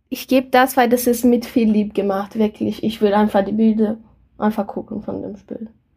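A woman's fairly high, dark, mellow, somewhat breathy voice at a moderate pace, with ordinary pitch variation. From Brazil. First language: Portuguese (speaking German). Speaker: board game enthusiast, co-host's partner. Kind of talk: casual chat. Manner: halting.

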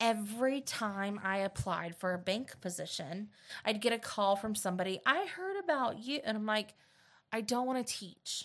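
A woman with a fairly high pitch speaks in an animated tone at a moderate pace with ordinary pitch variation, in a very clean recording with a silent background. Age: 30s. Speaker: teacher and podcast host. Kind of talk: casual chat.

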